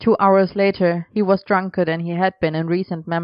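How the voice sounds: A natural reading voice with fairly even intonation carries the words along.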